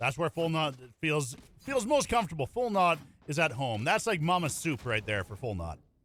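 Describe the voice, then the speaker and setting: Mumbling at a moderate pace, a man with a fairly high pitch makes very wide pitch swings. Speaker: esports caster. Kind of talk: live commentary.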